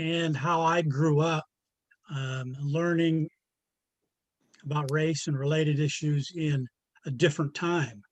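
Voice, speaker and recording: A man talks fairly slowly in a fairly high, somewhat breathy voice with fairly even intonation and long, frequent pauses. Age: 60s. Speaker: forum participant. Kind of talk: casual group discussion. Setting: video call. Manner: halting.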